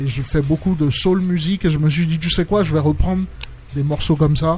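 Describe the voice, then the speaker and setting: Over music in the background, a man speaks fairly quickly at a fairly high pitch. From Benin, Cotonou. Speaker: singer. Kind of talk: interview. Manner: halting.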